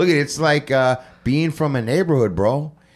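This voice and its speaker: At a moderate speed, an unremarkable speaking voice delivers the words. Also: man. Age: 50s. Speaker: podcast host. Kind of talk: casual interview. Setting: hotel room recording.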